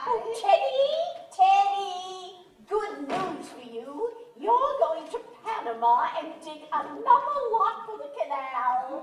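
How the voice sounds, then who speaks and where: In a put-on character voice, the speaker goes at a fairly slow pace with very wide pitch swings and big swings in loudness, all under clear echo. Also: woman, extremely high pitch for a woman. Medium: stage play. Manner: fluttery, gentle, repeating herself.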